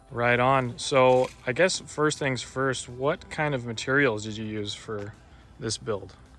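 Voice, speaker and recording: At a very slow pace, a man with a medium-pitched voice speaks with ordinary pitch variation. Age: 20s. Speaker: channel host. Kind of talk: casual walkthrough interview.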